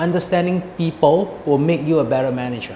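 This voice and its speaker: A man's moderate-paced speech shows ordinary pitch variation, with noticeable background noise behind it. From Singapore. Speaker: executive chef. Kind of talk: interview. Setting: restaurant. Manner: halting.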